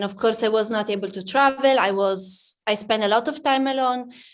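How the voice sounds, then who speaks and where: With an Italian accent, a woman speaks at a fairly slow pace in a fairly high pitch. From Italy, near Udine. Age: young. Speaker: pianist. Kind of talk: interview. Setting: music academy.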